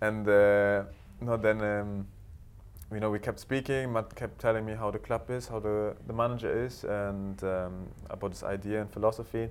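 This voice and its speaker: A man's fairly low voice stays monotone, with flat intonation throughout. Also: moderate pace. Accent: German. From Germany, Berlin. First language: German. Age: 20s. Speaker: professional footballer. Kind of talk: interview. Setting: studio.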